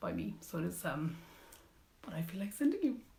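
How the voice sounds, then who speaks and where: Audible room echo surrounds a woman as she speaks. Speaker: yarn shop owner and knitting show host. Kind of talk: live product showcase. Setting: live stream.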